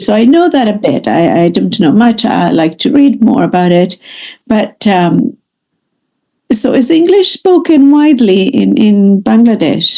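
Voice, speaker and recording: A woman's somewhat breathy, fairly high voice with a dark, mellow tone, very wide pitch swings, very even loudness and a fairly slow pace. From Canada. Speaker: English teacher. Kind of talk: online lesson conversation.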